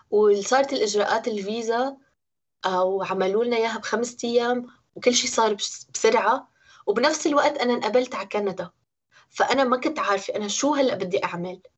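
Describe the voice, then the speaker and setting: With a Syrian accent, a woman speaks at a moderate pace and a fairly high pitch, showing ordinary pitch variation. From Syria, Homs. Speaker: interviewee. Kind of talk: personal testimony.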